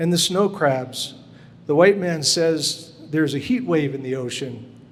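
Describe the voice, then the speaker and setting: Amid noticeable background noise and audible room echo, a man speaks at a fairly slow pace. His voice is fairly high, with ordinary pitch variation. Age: 60s. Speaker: glass sculpture artist. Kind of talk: reading aloud; lecture.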